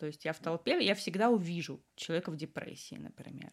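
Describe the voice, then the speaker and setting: The speaker is a woman. Her pitch sits fairly low. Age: 20s. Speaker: illustrator. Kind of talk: interview.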